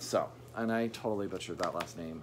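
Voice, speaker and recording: Light background noise sits behind a man speaking with lively intonation. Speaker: book vlogger. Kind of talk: casual vlog chat. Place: home room. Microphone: phone near.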